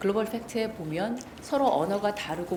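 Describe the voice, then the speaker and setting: Audible room echo and noticeable background noise surround a woman talking fairly quickly. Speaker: fact-checking center director and former journalist. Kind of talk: lecture. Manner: formal.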